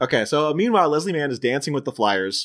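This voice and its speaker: A man with a normal speaking voice, medium pitch and a fairly quick pace, in a very clean recording with a silent background. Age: 30s. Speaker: podcast host. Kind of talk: casual chat.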